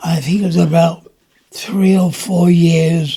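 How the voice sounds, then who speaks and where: A man speaks with a London accent. His pace is very slow. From London, Notting Hill. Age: 90s. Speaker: war veteran. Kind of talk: interview. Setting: at home. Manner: halting.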